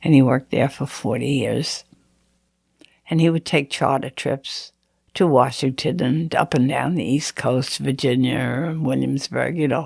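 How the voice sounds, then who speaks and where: A woman speaks with an American accent at a fairly slow pace. Her very deep, low pitch carries vocal fry and fairly even intonation. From Greenport, Long Island, New York. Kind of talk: oral history interview answer.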